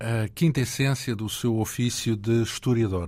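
With a normal speaking voice, a man talks at a fairly slow pace and medium pitch with ordinary pitch variation. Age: 40s. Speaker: radio host. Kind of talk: interview.

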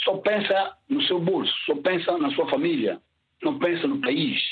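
A man talks at a high pitch for a man, his voice swinging very widely in pitch. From São Tomé and Príncipe. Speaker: caller. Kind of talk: call-in opinion.

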